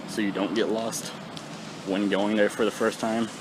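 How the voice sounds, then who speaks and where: Man's voice with noticeable background noise. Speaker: vlogger. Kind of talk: casual vlog talk. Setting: outdoors on a bike. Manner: mumbling.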